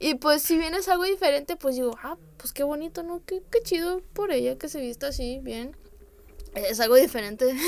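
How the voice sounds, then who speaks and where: A high-pitched woman at a moderate pace with lively intonation and big swings in loudness, over noticeable background noise. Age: 20s. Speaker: freelance illustrator. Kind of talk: interview.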